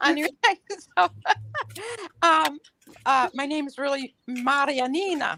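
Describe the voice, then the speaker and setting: The voice is raised and projected, with a bright, sharp tone and ordinary pitch variation. Long, frequent pauses break up the speech, and the sound is dry and close with no echo. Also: woman, high pitch for a woman. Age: 70s. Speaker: caller. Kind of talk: casual chat.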